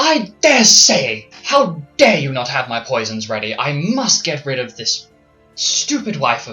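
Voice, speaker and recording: A man puts on a character voice, fairly high in pitch, at a fairly slow pace. Faint music plays in the background. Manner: loud, angry yelling.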